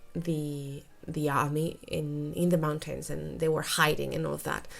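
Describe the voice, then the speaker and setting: A woman talks with a Spanish accent. Her pace is fairly slow. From Spain. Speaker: English teacher and YouTuber. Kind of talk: casual monologue of recommendations. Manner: halting, with frequent fillers and repetitions.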